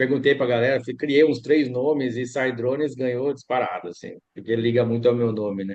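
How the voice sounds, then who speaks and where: Male speech at a medium pitch and moderate pace, fairly even in intonation, with hardly any pauses. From Piracicaba, São Paulo state, Brazil. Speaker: agronomist and drone services business owner. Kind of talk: interview conversation.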